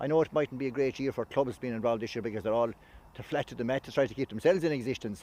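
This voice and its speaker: In a western Irish accent, a man talks at a very fast pace with hardly any pauses, his medium-pitched voice dark and mellow with ordinary pitch variation, the sound dry and close with no echo. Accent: Irish (west of Ireland). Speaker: sports organisation official. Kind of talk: interview.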